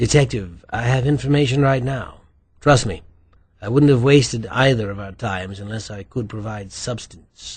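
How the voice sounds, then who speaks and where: A man's husky, put-on character voice at medium pitch, moderate pace, with big swings in loudness. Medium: read story. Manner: urbane, dry wit.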